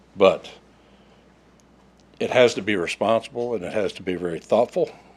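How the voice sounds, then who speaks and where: With an Oklahoma accent, a man of fairly low pitch speaks with big swings in loudness. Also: ordinary pitch variation. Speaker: resident speaking at public comment. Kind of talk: public comment reading a prepared statement. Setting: city council meeting. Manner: fast.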